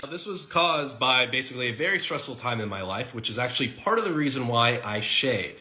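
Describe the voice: A man at medium pitch, bright and sharp in tone, fast-paced with lively intonation and audible room echo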